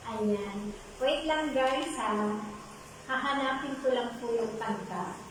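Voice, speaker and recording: A woman speaks very slowly in a high voice with ordinary pitch variation and very even loudness, over noticeable background noise and audible room echo. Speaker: live-streaming singer. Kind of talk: live stream chat. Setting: home live stream.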